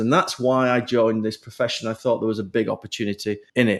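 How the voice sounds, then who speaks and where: Speaking very fast with a British accent, a man at medium pitch is heard on a very clean recording with a silent background. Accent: British accent, kept. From UK. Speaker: HR executive and business founder. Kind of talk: podcast interview.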